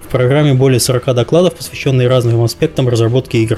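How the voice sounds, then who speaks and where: Music plays in the background as a man talks at a fairly quick pace with medium pitch and ordinary pitch variation. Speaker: podcast host. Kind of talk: casual chat.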